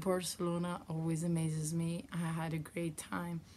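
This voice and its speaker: The woman's voice is fairly low in pitch and somewhat breathy, at a fairly slow pace. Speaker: knitting podcaster and yarn dyer. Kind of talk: casual vlog chat.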